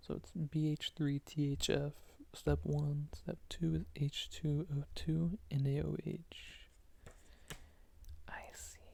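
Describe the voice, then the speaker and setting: Soft-spoken and whispering, the voice carries a soothing tone. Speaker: student studying for an organic chemistry final. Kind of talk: ASMR soft-spoken study session, talking through chemistry flashcards. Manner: soft-spoken, soothing, whispery.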